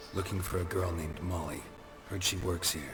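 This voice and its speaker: Putting on a character voice, a man speaks at a fairly quick pace in a very deep, low pitch, with a clear echo and clear background noise. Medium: machinima. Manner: terse, deadpan.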